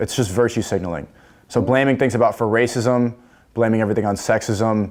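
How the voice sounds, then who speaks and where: A man with a New York accent, a medium pitch, fairly even intonation and very even loudness at a fairly quick pace, in a very clean recording with a silent background. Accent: American, New York. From US Northeast, New York City. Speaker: influencer on a dating show. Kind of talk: dating show debate.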